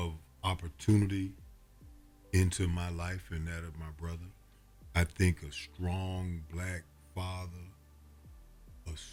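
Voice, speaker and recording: A man's very deep, low voice, monotone and flat, with big swings in loudness, a very slow pace, and long, frequent pauses over music in the background. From Atlanta. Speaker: prosecutor. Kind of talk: interview answer.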